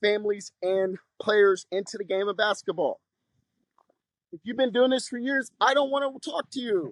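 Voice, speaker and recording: A man speaks loudly at a high pitch and a moderate pace, with ordinary pitch variation. His long, frequent pauses fall in a dry, close sound with no echo. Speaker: basketball coach. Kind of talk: tutorial. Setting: outdoors.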